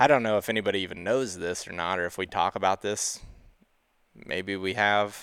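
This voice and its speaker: Speaking at a fairly quick pace in a plain, everyday voice, a man with a fairly low pitch keeps a fairly even intonation in a very clean recording with a silent background. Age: 30s. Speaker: hunting podcast host. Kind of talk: casual chat.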